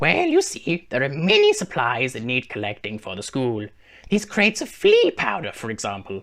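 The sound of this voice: Against a quiet background, a man puts on a character voice at medium pitch and a moderate pace.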